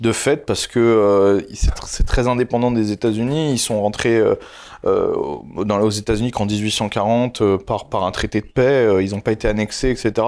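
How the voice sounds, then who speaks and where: At a fairly slow pace, a man talks with a medium pitch and fairly even intonation. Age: 20s. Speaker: YouTuber. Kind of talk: interview. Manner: loud, outspoken.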